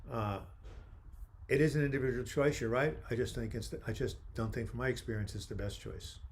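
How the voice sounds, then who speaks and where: With an American accent, a man speaks at a moderate pace with long, frequent pauses, and the room echo is audible. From New York. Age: 70s. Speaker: mental health author and livestream host. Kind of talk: live video chat answering viewer questions. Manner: animated.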